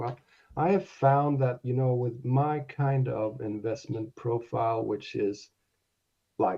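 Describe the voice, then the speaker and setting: A man's somewhat breathy voice at a medium pitch, with ordinary pitch variation and a very slow pace. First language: not English. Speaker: domain investor. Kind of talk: interview on live audio show. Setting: live audio space. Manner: halting.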